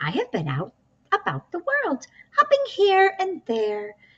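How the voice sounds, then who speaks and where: It's a put-on character voice, squeaky and extremely high in pitch. The delivery moves at a fairly slow pace. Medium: read story.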